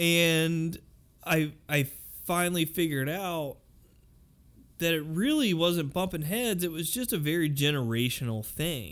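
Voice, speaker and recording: Very cleanly recorded against a silent background, a man with an American accent speaks at a fairly high pitch and a fairly slow pace, with ordinary pitch variation and long, frequent pauses. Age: 30s. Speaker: podcast host. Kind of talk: solo podcast monologue. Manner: halting, many fillers.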